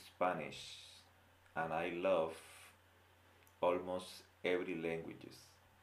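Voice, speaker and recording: Amid audible room echo, a man with a very deep, low voice speaks at a very slow pace, with long, frequent pauses. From Colombia. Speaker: Spanish teacher. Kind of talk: language lesson.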